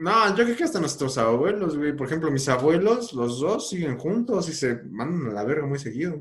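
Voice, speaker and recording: Barely pausing, a man with a fairly high pitch talks at a moderate pace with very wide pitch swings. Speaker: podcast host. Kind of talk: casual chat.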